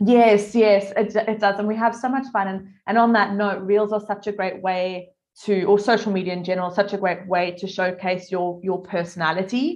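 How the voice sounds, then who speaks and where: With a South African accent, a woman speaks in a medium pitch and fairly even intonation against a quiet background. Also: moderate pace. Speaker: content marketing agency owner. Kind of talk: casual interview.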